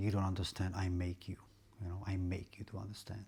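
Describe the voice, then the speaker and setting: A man with a Czech accent speaks in a very deep, low pitch that is monotone and flat, his voice somewhat breathy. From Czech Republic. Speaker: vlogger. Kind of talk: casual monologue vlog. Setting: at home, aquarium bubbling. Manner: halting, repeats words.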